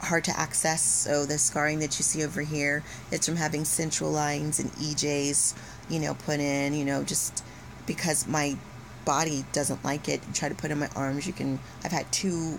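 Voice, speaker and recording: A woman talks in a very deep, low voice. Her intonation is flat and monotone. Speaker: health vlogger sharing life with rare disease. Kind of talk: casual vlog talk to camera. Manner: hesitant, many fillers.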